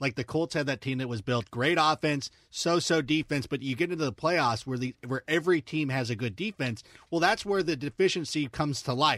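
A man's normal speaking voice, fairly high in pitch, at a fairly quick pace with lively intonation, in a dry, close sound with no echo and a very clean recording over a silent background. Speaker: football analyst. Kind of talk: casual sports talk.

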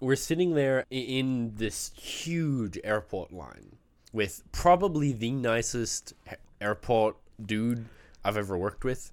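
A man speaks at a very slow pace with lively intonation. His pitch sits in the medium range. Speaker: podcast co-host. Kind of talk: casual chat.

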